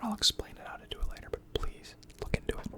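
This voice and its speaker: A man whispers over noticeable background noise. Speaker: finance educator / ASMR creator. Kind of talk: educational talk on personal finance, ASMR-style.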